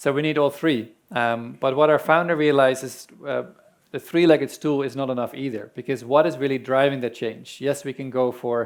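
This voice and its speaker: At a fairly quick pace, a man talks with fairly even intonation in a Dutch accent. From Netherlands. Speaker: land restoration organization representative. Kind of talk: conference presentation.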